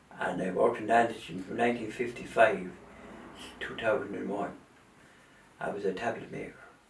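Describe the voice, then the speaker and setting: In an Irish Midlands accent, a man with a fairly low pitch speaks at a fairly quick pace, his loudness swinging widely and his intonation fairly even, with long, frequent pauses, audible room echo and noticeable background noise. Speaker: retired factory worker. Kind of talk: oral history interview.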